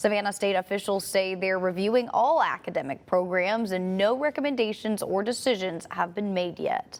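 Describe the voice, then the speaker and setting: A woman talks with an ordinary speaking voice at a medium pitch. Her pace is moderate, with ordinary pitch variation and hardly any pauses. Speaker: television news anchor and reporter. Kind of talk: television news anchor delivery. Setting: studio news desk, morning show.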